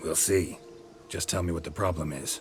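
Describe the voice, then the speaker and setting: A man puts on a raspy character voice with a deadpan tone. He talks at a moderate pace over clear background noise. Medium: video game. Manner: terse, dry, deadpan.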